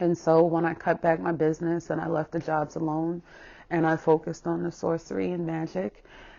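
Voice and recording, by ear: Low-pitched for a woman, her dark, mellow voice carries vocal fry and little pitch movement at a moderate pace.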